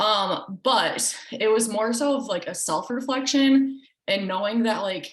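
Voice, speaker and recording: At a fairly slow pace, a woman talks in a normal speaking voice, fairly high in pitch with ordinary pitch variation. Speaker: team coach. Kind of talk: team call presentation.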